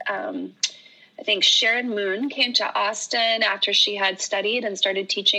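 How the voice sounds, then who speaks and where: A plain, everyday voice speaks at a fairly slow pace. Its intonation is lively. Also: woman. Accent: American. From Oregon. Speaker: yoga teacher. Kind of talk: casual chat.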